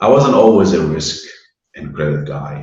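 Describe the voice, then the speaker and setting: With audible room echo around him, a man talks in a very deep, low voice that is somewhat breathy. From Lebanon (Beirut). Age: 60s. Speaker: banking risk and credit professional. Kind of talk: interview.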